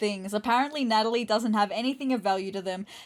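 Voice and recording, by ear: The pitch shifts in an ordinary way while reading aloud in a natural voice.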